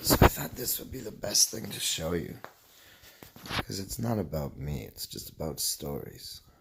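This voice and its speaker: A man speaks at a moderate pace in a very deep, low voice with a relaxed tone. His pitch swings very widely and his loudness shifts a lot, with noticeable background noise behind him. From Canada. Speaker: vlogger. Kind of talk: casual monologue.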